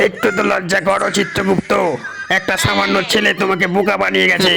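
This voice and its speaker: Over clear background noise, a man uses a high, cartoonish character voice at a moderate pace. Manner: commanding, hot-tempered.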